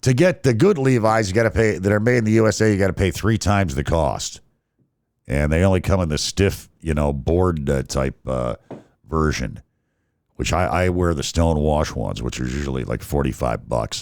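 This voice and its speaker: Very clean and silent in the background, the recording has a man speaking at a very deep, low pitch. He moves at a moderate pace with very wide pitch swings. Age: 60s. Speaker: podcast host. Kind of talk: casual monologue rant. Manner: halting, many fillers and restarts.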